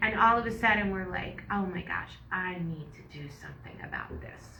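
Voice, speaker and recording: Amid noticeable background noise and audible room echo, a woman speaks at a moderate pace with lively intonation. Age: 60s. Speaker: yoga instructor and podcast co-host. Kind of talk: casual chat.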